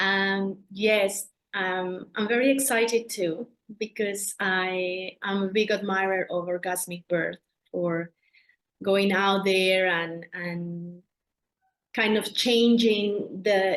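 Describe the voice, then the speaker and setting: Speaking very slowly in a Colombian accent, a woman keeps a medium pitch and fairly even intonation. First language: Spanish. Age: 40s. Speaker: doula. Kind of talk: interview. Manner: halting.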